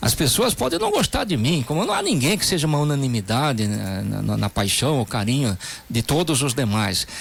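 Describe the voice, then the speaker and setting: At a moderate pace, a man with a fairly high pitch speaks with vocal fry. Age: 60s. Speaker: politician. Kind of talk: radio interview.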